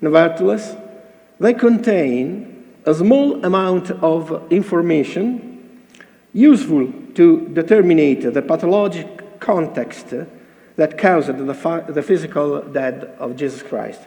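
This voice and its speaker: A man with an Italian accent speaks at a very slow pace, high in pitch with lively intonation. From Italy. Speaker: cardiologist presenting at a conference. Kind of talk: conference lecture read from paper. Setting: conference stage with audience. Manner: halting, hesitant non-native English.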